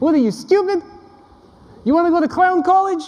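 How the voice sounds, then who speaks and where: A put-on character voice at extremely high pitch moves along at a fairly quick pace. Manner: scolding.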